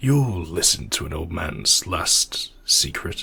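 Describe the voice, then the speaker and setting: A man whispers in a raspy, put-on character voice. He speaks at a fairly slow pace. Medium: read story. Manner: slow, grave.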